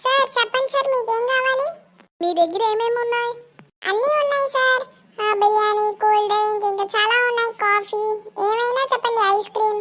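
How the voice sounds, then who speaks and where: A woman's cartoonish character voice, extremely high in pitch, at a moderate pace. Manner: exasperated.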